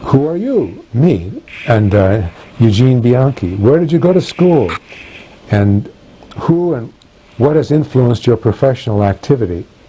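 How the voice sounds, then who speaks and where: A man speaks at a medium pitch with lively intonation, leaving long, frequent pauses over noticeable background noise. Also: fairly slow pace. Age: 60s. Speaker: professor of religion. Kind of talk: interview answering prepared questions. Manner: halting with many fillers.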